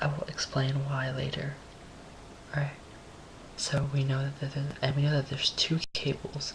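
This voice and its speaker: The speaker is soft-spoken, keeping a moderate pace with long, frequent pauses. Noticeable background noise is present. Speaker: amateur physics tutorial maker. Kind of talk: tutorial. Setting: home, late at night. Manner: quiet, speaking softly; hesitant, many fillers.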